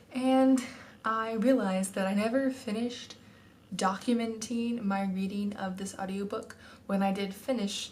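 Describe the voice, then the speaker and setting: A woman with an American accent speaks at a fairly high pitch with fairly even intonation. Background noise is noticeable. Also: moderate pace. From Texas. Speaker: book vlogger. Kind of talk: casual talk to camera.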